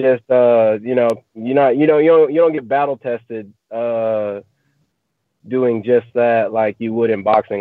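The voice holds a fairly even intonation at a moderate pace. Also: man. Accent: American. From US South, East Texas (Marshall). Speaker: professional MMA fighter. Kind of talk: interview. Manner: halting, many fillers.

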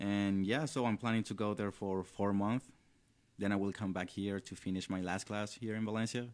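With fairly even intonation and a fairly low pitch, a man talks at a moderate pace on a very clean recording with a silent background. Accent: Venezuelan. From Venezuela. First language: Spanish. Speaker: college student and intern. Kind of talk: casual interview. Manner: halting.

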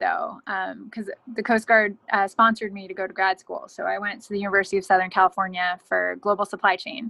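A woman with a plain, everyday voice at medium pitch speaks at a fairly quick pace with hardly any pauses and big swings in loudness. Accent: American. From New Jersey. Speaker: Coast Guard officer. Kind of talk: interview.

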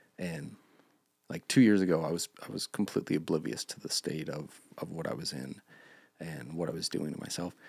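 A man with an American accent and a very deep, low pitch talks at a fairly quick pace with vocal fry, ordinary pitch variation and big swings in loudness. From Montana. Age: 30s. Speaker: churchgoer sharing life story. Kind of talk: personal testimony.

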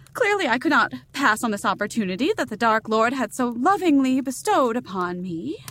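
Talking at a fairly quick clip with hardly any pauses, a woman uses a high voice that swings very widely in pitch. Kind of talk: horror-comedy audio drama. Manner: prim, elaborately formal, dryly arch.

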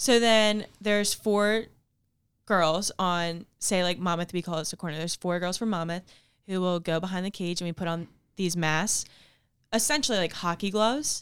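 A woman with an American accent talks at a moderate pace and a medium pitch. She has an ordinary speaking voice, on a very clean recording with a silent background. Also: ordinary pitch variation. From New Jersey, Ocean City. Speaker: college field hockey player. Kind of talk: casual interview.

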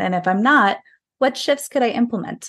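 A woman with an American accent speaks at a moderate pace with vocal fry and ordinary pitch variation. The background is quiet. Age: 30s. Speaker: health and wellness coach. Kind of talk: casual chat.

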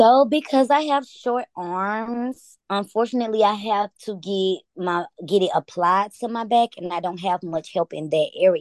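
Recorded with a dry, close sound with no echo and a quiet background, a woman with a plain, everyday voice and an American accent speaks at a medium pitch with lively intonation and hardly any pauses. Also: fairly slow pace. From US South, Atlanta. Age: 30s. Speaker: cannabis user sharing her story. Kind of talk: interview testimony.

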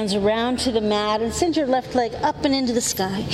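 Noticeable background noise sits under a woman's voice. She speaks fairly high, with ordinary pitch variation. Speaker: yoga instructor. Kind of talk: live yoga class cueing breath-linked vinyasa flow. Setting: yoga studio class. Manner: calm, steady breath-paced cueing; gentle, soothing reflective guidance.

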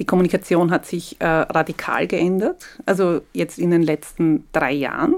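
Recorded very cleanly against a silent background, a woman uses an ordinary speaking voice, fairly low in pitch, with ordinary pitch variation at a moderate pace. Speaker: podcast host. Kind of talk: interview.

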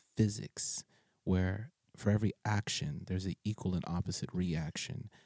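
A man's voice has a dark, mellow tone and a dry, close sound with no echo. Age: 40s. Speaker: podcast host, street and prison minister. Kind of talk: casual chat.

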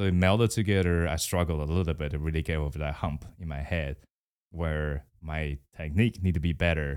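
A man with a Mandarin accent and a very deep, low pitch speaks at a fairly quick pace with fairly even intonation, on a very clean recording with a silent background. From Taiwan. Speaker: guest. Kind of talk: casual interview chat.

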